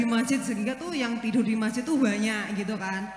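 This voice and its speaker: A strong Javanese accent at a moderate pace, with ordinary pitch variation, audible room echo and noticeable background noise. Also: woman. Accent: thick Javanese. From East Java. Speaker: audience member asking a question. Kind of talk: Q&A question at religious talk. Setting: mosque gathering. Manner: halting, many fillers.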